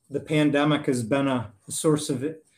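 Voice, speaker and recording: Here a man speaks with an Upper Midwest accent at a fairly high pitch. His pace is fairly slow. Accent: Upper Midwest American. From US Midwest, Wisconsin. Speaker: engineering firm president. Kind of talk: interview.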